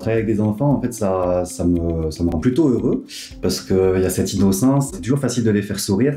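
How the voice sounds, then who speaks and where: A man's fairly low voice with a southern French accent, very fast and lively, with audible room echo and faint background music. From southern France. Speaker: pediatric nurse. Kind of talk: interview testimony. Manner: hesitant with frequent fillers. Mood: warm, smiling, upbeat. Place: home room.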